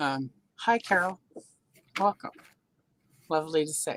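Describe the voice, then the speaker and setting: The sound is dry and close with no echo, and the pitch varies in an ordinary way. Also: woman. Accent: American. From US South. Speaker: live stream host. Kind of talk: casual chat. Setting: live stream.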